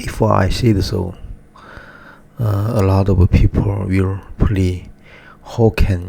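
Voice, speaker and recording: A man with a Chinese accent speaks at a very slow pace in a very deep, low voice. His intonation is monotone and flat, against noticeable background noise. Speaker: artist vlogger. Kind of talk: personal monologue. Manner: halting, many fillers.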